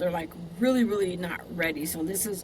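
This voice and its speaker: Moderate pace in a space with audible room echo. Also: woman. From US West, Southern California, Compton. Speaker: podcast host. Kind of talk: casual interview.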